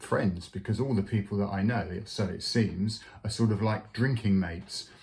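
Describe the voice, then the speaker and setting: Somewhat breathy, a man speaks at a fairly slow pace with a fairly low pitch and fairly even intonation. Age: 60s. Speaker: clergy vlogger on sobriety. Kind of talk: personal testimony vlog. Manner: halting, many fillers.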